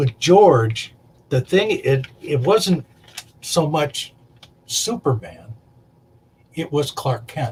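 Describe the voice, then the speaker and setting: A man speaks at a very slow pace with long, frequent pauses. His voice is somewhat breathy, and his intonation is lively. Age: 60s. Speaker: makeup artist. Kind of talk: casual chat. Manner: halting.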